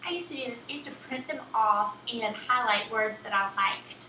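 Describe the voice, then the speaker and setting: A woman speaks in a strong Southern US accent at a fairly high pitch. There is noticeable background noise and audible room echo. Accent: thick Southern US. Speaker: writing teacher, copywriter. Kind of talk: online course lesson, tutorial. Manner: casual, many filler ums.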